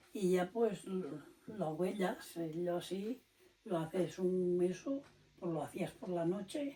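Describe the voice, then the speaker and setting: A woman speaks at a medium pitch with ordinary pitch variation. Her pace is very slow, and there is noticeable background noise. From Spain, Liébana (Cantabria). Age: 90s. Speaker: elderly villager. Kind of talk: oral history interview.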